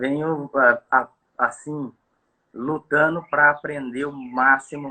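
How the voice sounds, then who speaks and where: This man's intonation is monotone and flat. He talks at a very slow pace. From Brazil, Campo Grande, Mato Grosso do Sul. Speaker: bass fishing guide. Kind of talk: casual chat. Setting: live video call. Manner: halting, many fillers.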